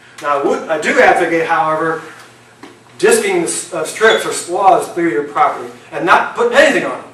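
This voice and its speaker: A man with an American accent talks at a fairly quick pace with big swings in loudness, amid audible room echo and noticeable background noise. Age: 60s. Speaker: retired wildlife biologist. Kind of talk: presentation to an audience. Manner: halting, many fillers.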